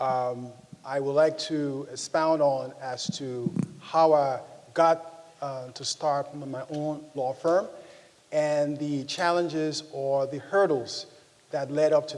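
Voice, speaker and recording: In a room with audible echo, a man with a fairly high pitch speaks at a very slow pace with fairly even intonation. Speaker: lawyer. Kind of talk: conference talk. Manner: halting, many fillers.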